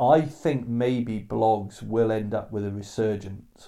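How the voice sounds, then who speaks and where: Very slow and fairly low, a man talks in a dark, mellow tone. His intonation stays fairly even. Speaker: podcast host. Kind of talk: casual conversation. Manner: opinionated, talkative.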